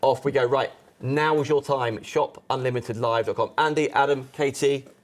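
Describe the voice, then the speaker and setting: In a British accent, a man speaks at a fairly high pitch with monotone, flat intonation and very even loudness. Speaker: live shopping presenter. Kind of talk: live sales show. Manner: fast.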